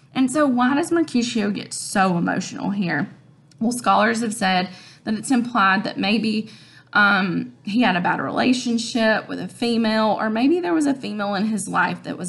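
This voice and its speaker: Her voice carrying vocal fry, a woman talks at a moderate pace with lively intonation. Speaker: teacher. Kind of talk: lecture. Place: home room. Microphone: webcam.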